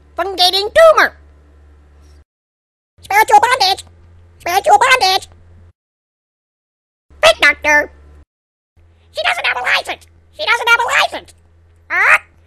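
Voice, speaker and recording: Extremely high-pitched put-on character voice with long, frequent pauses. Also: moderate pace. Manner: squawking, repetitive shouting.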